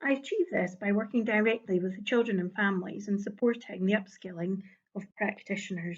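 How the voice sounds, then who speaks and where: A woman with a Scottish accent speaks at a fairly quick pace and medium pitch. Her voice is somewhat breathy, and her intonation is fairly even. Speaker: early years education lead. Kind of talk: conference presentation. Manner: formal.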